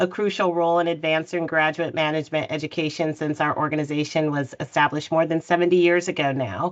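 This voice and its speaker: In a plain, everyday voice, a woman speaks at a fairly quick pace with an American accent and fairly even intonation. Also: quiet background. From California, US. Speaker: nonprofit CEO, panelist. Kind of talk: panel discussion introduction. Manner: frequent fillers (um).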